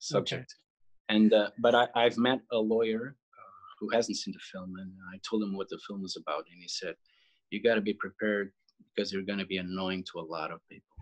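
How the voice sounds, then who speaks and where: A man with a Portuguese accent talks fairly quickly at a fairly low pitch, his loudness swinging widely, in a dry, close sound with no echo. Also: fairly even intonation. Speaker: film writer and director. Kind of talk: interview. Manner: halting.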